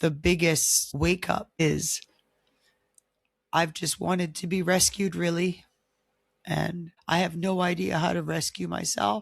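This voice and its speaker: Vocal fry runs through fairly evenly intoned speech at a fairly slow pace. Pauses are long and frequent. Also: woman, fairly low pitch for a woman, very clean recording, silent background. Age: middle-aged. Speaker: podcast host. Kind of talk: personal podcast monologue.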